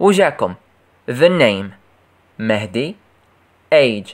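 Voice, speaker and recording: In an Algerian accent, a man's voice moves through very wide pitch swings with vocal fry. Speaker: English teacher for primary pupils. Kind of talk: tutorial.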